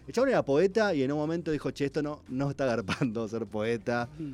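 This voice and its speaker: A man talks at a very fast pace. His voice is fairly high, with lively intonation. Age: 40s. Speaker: writer. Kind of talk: casual radio chat.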